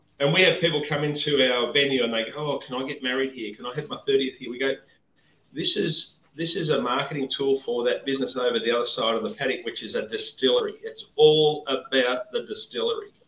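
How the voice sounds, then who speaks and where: With an Australian accent, a man talks at a very fast pace. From Victoria, Australia. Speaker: whisky distiller. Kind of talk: casual chat.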